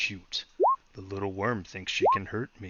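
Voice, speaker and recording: Putting on a character voice, a man talks at a moderate pace with a fairly low pitch. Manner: mocking, musing, contemptuous.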